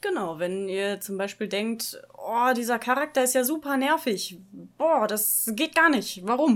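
A woman's fairly high voice with lively intonation, an ordinary speaking voice and a fairly slow pace. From Ruhr area, Germany (Dortmund). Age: 30s. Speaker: podcast co-host. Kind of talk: casual chat.

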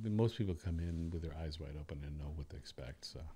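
Speaking with an American accent, a man has a very deep, low voice with a dark, mellow tone, a somewhat breathy quality and ordinary pitch variation. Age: 60s. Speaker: bass player and orchestra leader. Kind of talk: casual chat. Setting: studio.

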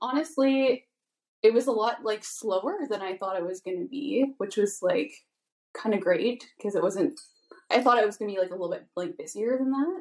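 Using a plain, everyday voice, a woman with a Canadian accent speaks at a moderate pace with a fairly high pitch and lively intonation. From Vancouver Island, Canada. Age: 20s. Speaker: tattoo artist. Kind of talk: casual chat.

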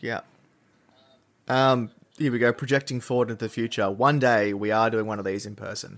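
A man with a medium-pitched voice speaks at a fairly quick pace, his loudness swinging widely and his intonation fairly even, with long pauses coming often. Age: 20s. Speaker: podcast host. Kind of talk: casual chat.

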